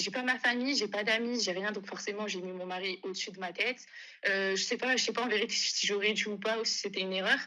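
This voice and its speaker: Her intonation is fairly even. The woman's delivery comes at a very fast pace. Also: medium pitch for a woman. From northern France. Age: 20s. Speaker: caller. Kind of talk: testimony.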